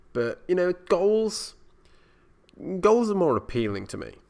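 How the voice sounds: At a fairly slow pace, a man speaks with a high pitch and vocal fry. His pitch swings big. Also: slightly mellow tone.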